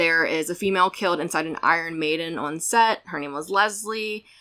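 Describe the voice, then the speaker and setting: A woman's fairly low voice with vocal fry, a bright, sharp tone and ordinary pitch variation, on a very clean recording with a silent background. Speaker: podcast host. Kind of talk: casual chat.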